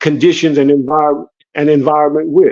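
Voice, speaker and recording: With an unremarkable speaking voice, a man talks at a moderate pace in a fairly high pitch with ordinary variation. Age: 60s. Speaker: former prisoner, legal helper. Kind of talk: testimony. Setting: online livestream.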